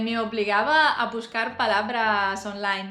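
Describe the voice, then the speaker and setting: With a non-native accent, a woman speaks at a very slow pace. The recording has audible room echo. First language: not Spanish (speaking Spanish). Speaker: language learner vlogger. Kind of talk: personal vlog monologue. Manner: halting, many fillers.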